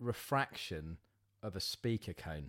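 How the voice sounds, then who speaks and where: The speaker is a man. His intonation is lively. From Southend, Essex. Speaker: live sound engineer and clothing brand founder. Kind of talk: casual interview. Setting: at his home.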